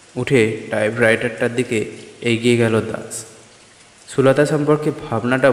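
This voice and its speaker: A man at medium pitch speaks with monotone, flat intonation. Noticeable background noise runs behind him. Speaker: audio story narrator. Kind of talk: horror story narration, first-person reading.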